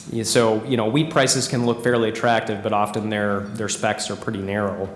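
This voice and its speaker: A man of fairly low pitch talks at a fairly quick pace with fairly even intonation. Audible room echo and noticeable background noise are present. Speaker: organic agronomist at a seed company. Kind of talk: conference presentation. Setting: conference room with live audience.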